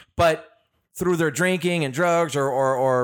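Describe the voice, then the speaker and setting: A man speaks at a fairly slow pace, pitched fairly high, in a plain, everyday voice. His pitch varies in an ordinary way, and the recording is very clean with a silent background. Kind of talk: casual chat. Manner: casual, profane.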